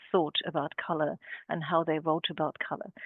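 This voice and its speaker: In a German accent, a woman is talking. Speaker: art historian and curator. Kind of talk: webinar talk. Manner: halting, many fillers.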